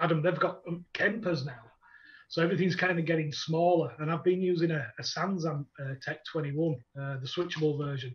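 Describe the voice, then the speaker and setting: A man with a Yorkshire accent talks at a fairly quick pace. His pitch is fairly high and his intonation fairly even. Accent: broad Yorkshire. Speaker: metal bassist. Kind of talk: casual chat.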